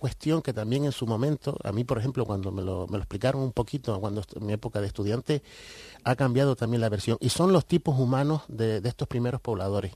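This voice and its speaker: A man talks fairly quickly in an unremarkable speaking voice, his intonation lively, with the background quiet. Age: 50s. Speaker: writer and researcher of Canarian culture. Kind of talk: radio interview.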